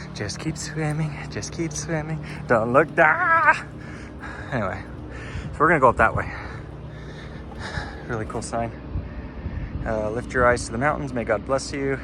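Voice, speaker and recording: With an American accent, a man at medium pitch swings his pitch very widely, speaking at a moderate pace with long, frequent pauses over noticeable background noise. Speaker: travel vlogger. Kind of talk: casual vlog narration while hiking. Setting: outdoors on a mountain trail.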